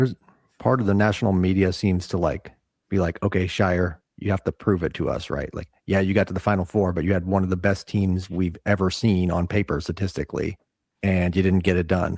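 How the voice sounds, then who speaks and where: On a very clean recording with a silent background, the speech comes at a fairly quick pace with fairly even intonation and a dry, close sound with no echo. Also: man, very deep, low pitch for a man. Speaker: sports podcast host. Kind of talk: casual chat. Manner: halting.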